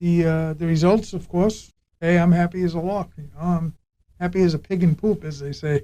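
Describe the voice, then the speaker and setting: A man's high-pitched voice with a dark, mellow tone, fairly even intonation and a moderate pace. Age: 60s. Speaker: patient giving testimony, retired law enforcement officer. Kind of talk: casual interview testimony. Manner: halting.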